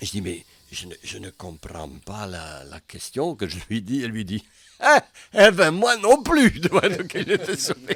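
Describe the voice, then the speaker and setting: A man talks at a fairly slow pace. His voice has vocal fry. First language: Dutch (Flemish) (speaking French). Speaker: comedian. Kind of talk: interview. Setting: studio. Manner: halting.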